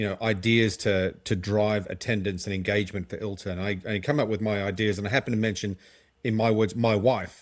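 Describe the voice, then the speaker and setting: A man talks with an Australian accent. The recording is very clean, with a silent background. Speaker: legal tech company co-founder and marketer. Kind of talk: podcast interview.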